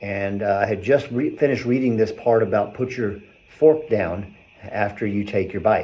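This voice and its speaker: In an American accent, a man talks at a moderate pace in an unremarkable speaking voice, fairly low in pitch with ordinary pitch variation. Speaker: chiropractor. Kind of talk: health talk video.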